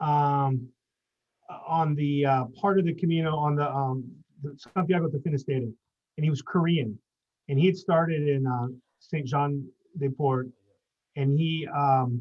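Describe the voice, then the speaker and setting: With an American accent, a man speaks at a fairly slow pace, his voice fairly high and somewhat breathy. His intonation stays fairly even, broken by long, frequent pauses. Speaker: pilgrim. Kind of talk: casual chat.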